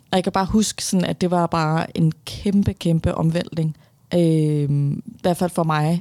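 A woman with a dark, mellow tone and fairly low pitch speaks at a fairly slow pace with fairly even intonation, in a dry, close sound with no echo. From Denmark, Viborg then Copenhagen western suburbs. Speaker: author. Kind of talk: interview.

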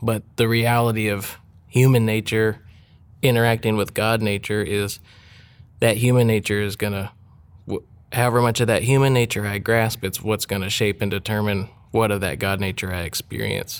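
A man's normal speaking voice, fairly low in pitch with fairly even intonation, at a moderate pace on a very clean recording with a silent background. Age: 40s. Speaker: musician and worship leader. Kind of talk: casual chat.

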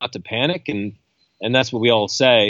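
This man has a slight Canadian accent. His pitch is medium. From Canada. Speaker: coastal scientist and professor. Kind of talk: casual interview. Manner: relaxed, hesitant with fillers.

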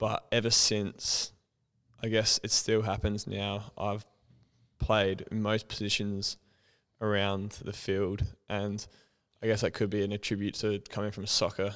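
A man's flat, monotone voice with long, frequent pauses, on a very clean recording over a silent background. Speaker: guest, former club player. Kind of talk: casual chat interview. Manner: loud.

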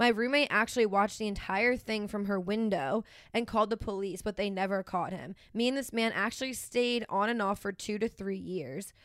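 Fairly quick and with hardly any pauses, a woman speaks in an unremarkable speaking voice with ordinary pitch variation. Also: medium pitch for a woman. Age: 20s. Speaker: podcast co-host. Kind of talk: casual chat.

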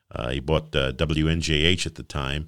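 Vocal fry runs through the voice, and the intonation stays fairly even. The recording is very clean with a silent background. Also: man. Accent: American. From Hamilton, New Jersey (South Jersey). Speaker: radio DJ. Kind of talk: interview.

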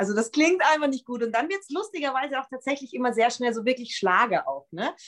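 Talking fairly quickly, a woman lets her pitch swing very widely. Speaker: pop singer and songwriter. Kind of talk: casual interview. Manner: animated.

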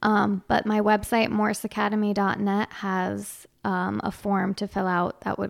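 A soft-spoken woman talks at a medium pitch in a very clean recording with a silent background. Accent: northern US. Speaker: Irish dance teacher and studio owner. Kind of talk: casual interview chat. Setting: studio.

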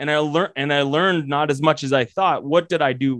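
A man with an American accent has a plain, everyday voice and a fairly high pitch with ordinary pitch variation. The sound is dry and close, with no echo. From Colorado. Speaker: commercial real estate educator. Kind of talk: interview.

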